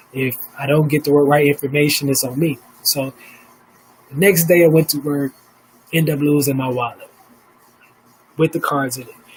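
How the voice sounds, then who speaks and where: Over noticeable background noise, a man with a fairly high pitch talks at a moderate pace with long, frequent pauses. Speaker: live stream host. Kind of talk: casual live stream monologue. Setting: home studio, live stream. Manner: animated, profane; stuttering.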